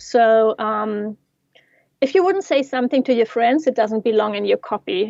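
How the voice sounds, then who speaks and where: A woman with a non-native accent speaks at a moderate pace in a high voice. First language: not English. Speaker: yoga teacher and digital marketing coach. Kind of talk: casual interview.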